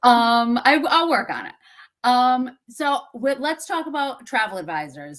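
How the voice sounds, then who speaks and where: Speaking at a fairly slow pace, a woman with a fairly high pitch has a Massachusetts accent. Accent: Massachusetts accent, drops R's and T's. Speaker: webinar host. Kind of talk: interview.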